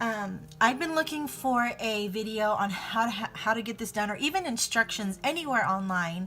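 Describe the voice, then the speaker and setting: Music plays in the background while a woman speaks at a moderate pace in a fairly high pitch. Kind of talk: casual tutorial talk to camera.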